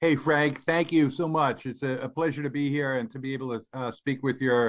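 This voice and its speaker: A man with an American accent at a medium pitch, with fairly even intonation and a moderate pace. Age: 60s. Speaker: business founder and CEO. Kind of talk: radio interview.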